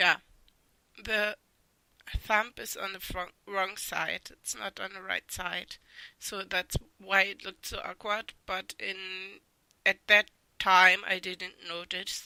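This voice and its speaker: Speaking very slowly in a flat, monotone intonation, a woman with a bright, sharp tone leaves long, frequent pauses. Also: medium pitch for a woman, big swings in loudness, dry, close sound with no echo. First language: not English. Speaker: artist. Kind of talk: art critique voice-over. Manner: hesitant.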